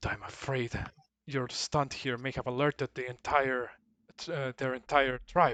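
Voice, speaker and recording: In a put-on character voice, a man speaks at a moderate pace and medium pitch with monotone, flat intonation. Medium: actual play.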